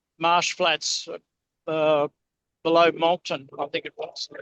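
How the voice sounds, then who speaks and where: A man with a high pitch speaks fairly slowly in a monotone, flat intonation, the sound dry and close with no echo. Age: 70s. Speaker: pilot and aircraft searcher. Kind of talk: casual chat.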